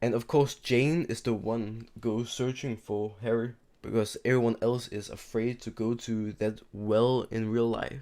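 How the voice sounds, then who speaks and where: Quiet and monotone, a man at a medium pitch speaks fairly slowly with hardly any pauses on a very clean recording with a silent background. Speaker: YouTube TV show reviewer. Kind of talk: casual video review. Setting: home recording at night, seated in chair. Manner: quiet, keeping voice down at night; halting, repeats and restarts words.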